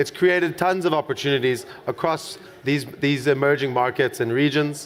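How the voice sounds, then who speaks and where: With noticeable background noise behind him, a man with a South African accent speaks at a moderate pace in a fairly high pitch with ordinary pitch variation. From South Africa, Cape Town. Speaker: conference moderator. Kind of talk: stage announcement.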